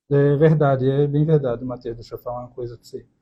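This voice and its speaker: A man is speaking. His voice is somewhat breathy. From Brazil, Recife, Pernambuco. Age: 30s. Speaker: podcast co-host, accounting student. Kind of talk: casual chat.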